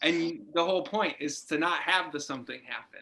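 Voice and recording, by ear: This man has a fairly high pitch and a bright, sharp tone, with ordinary pitch variation at a moderate pace.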